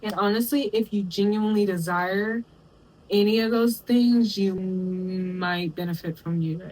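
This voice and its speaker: Fairly slow and somewhat breathy, the speaker talks in an American accent with fairly even intonation. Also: woman, medium pitch for a woman. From Texas, US South. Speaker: commentary YouTuber. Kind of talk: video essay commentary. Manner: casual, conversational.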